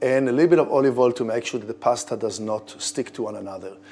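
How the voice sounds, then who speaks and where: On a very clean recording with a silent background, a man with an Israeli accent speaks at a medium pitch in a dark, mellow tone, his pitch varying in an ordinary way. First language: Hebrew. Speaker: head chef. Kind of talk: cooking tutorial. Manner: casual, conversational.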